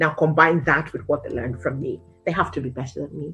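A woman talks energetically at a fairly quick pace. Faint music plays in the background. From Nigeria. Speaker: local politician, television presenter. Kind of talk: interview answer. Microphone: webcam.

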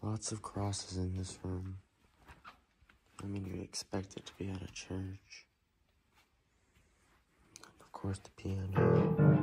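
A man with a very deep, low voice and ordinary pitch variation talks very slowly, leaving long, frequent pauses, while faint music plays in the background. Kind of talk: casual vlog narration. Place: church. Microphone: phone near.

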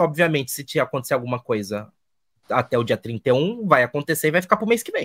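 A man talking at a very fast pace in an animated tone, with a dry, close sound and no echo. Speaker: podcast co-host. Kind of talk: casual chat. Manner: halting.

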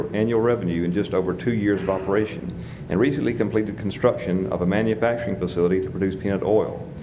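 Against noticeable background noise, a man with a fairly low pitch talks at a very fast pace with fairly even intonation. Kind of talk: speaker introduction. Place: hall. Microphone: podium.

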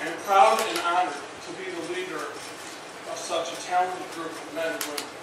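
A man talks at a moderate pace in a high pitch, with fairly even intonation and hardly any pauses. Strong room echo and noticeable background noise fill the recording. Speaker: fire chief. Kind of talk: formal ceremonial speech. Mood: formal, proud. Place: hall.

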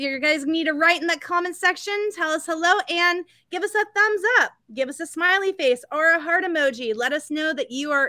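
Raised and projected, a woman's bright, sharp voice moves at a fairly quick pace with ordinary pitch variation, in a dry sound with no echo and a quiet background. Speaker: store event host. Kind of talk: live stream presentation intro. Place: home room. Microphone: webcam.

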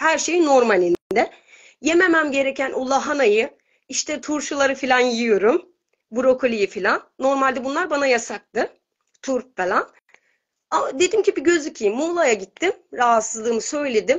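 Against a quiet background, a woman speaks with a high pitch and lively intonation. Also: moderate pace. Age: 30s. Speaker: caller sharing healing story. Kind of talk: testimony; personal testimony on a call. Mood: emotional, earnest. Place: home room. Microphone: video call.

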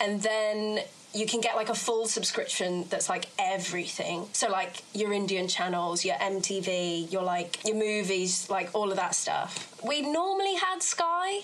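A woman speaks with a British accent and a bubbly tone at a fairly slow pace. Her loudness stays very even, with noticeable background noise behind her. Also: medium pitch for a woman, ordinary pitch variation. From England (born in South Africa). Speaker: musical theatre actress. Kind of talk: casual chat. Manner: bubbly, laughs often.

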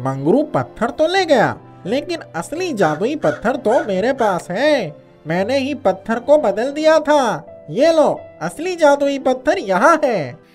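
Someone does a put-on character voice, high in pitch and at a moderate pace. Clear music plays in the background. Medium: read story. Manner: calm, reassuring.

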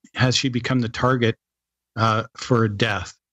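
A man speaks in a flat, monotone voice. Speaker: podcast co-host. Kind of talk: interview.

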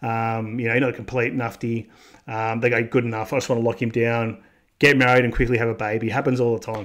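Delivered at a very fast pace in an Australian accent, the speech has a monotone, flat intonation over a quiet background. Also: man. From Australia, Melbourne, Victoria. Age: 30s. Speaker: YouTube vlogger. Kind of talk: casual monologue vlog. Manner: conversational, with fillers. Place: home room. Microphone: studio mic.

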